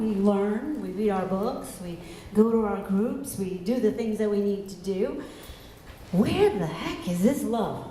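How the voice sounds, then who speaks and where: Fairly high-pitched speech from a woman, with audible room echo and noticeable background noise. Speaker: minister. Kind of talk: sermon. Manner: soft-spoken.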